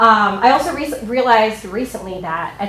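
A woman at a fairly high pitch and fairly slow pace, ordinary pitch variation, noticeable background noise. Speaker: actress and teacher.

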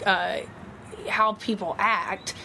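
Someone with an Alabama accent speaks over noticeable background noise. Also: woman. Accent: Southern US (Alabama). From US South, Mobile, Alabama. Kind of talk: casual chat. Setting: outdoors on a porch.

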